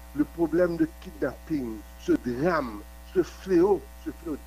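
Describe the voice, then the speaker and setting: A man talks at a very slow pace. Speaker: activist. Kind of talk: news report soundbite.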